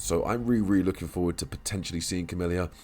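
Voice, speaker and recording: A man with a very deep, low pitch talks over music in the background. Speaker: gaming youtuber. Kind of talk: unscripted commentary video. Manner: halting, frequent fillers.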